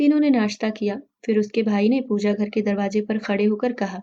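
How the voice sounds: A woman's dark, mellow voice at a medium pitch, fairly quick in pace, with fairly even intonation.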